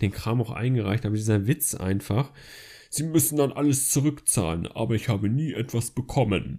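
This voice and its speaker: On a very clean recording with a silent background, the talking moves along fairly quickly. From northern Germany, Flensburg. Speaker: podcast host, university student. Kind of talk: casual monologue.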